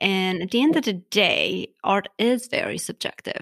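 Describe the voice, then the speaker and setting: The tone is bright and sharp, with vocal fry. The recording is very clean, with a silent background. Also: woman, dry, close sound with no echo. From Armenia. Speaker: podcast host and floral designer. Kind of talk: casual interview. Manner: animated.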